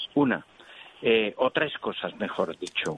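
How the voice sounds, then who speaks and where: Noticeable background noise accompanies a man as he talks at a fairly slow pace. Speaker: doctor answering listener calls. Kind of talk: radio health call-in advice. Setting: radio phone-in show.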